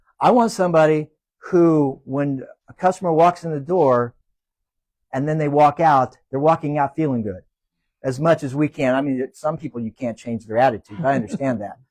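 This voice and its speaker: A plain, everyday voice from a man, fairly high in pitch with ordinary pitch variation, at a moderate pace in dry, close sound with no echo. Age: 60s. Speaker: small business owner. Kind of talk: panel interview.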